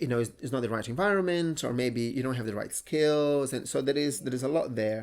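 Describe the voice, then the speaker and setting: A man speaks with a Brazilian Portuguese accent at a fairly high pitch. His pitch varies in an ordinary way on a very clean recording with a silent background. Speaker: entrepreneur. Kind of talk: interview. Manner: animated.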